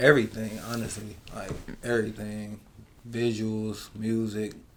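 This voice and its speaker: A man's fairly low, monotone, flat voice with an American accent, fairly slow pace and audible room echo. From Cleveland, Ohio, US. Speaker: rapper. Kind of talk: casual chat.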